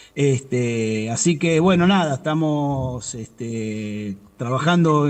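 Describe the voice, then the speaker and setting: Through noticeable background noise, a man with a fairly high pitch speaks using lively intonation. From Argentina, Buenos Aires province. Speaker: civilian worker union representative. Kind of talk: interview. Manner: fast.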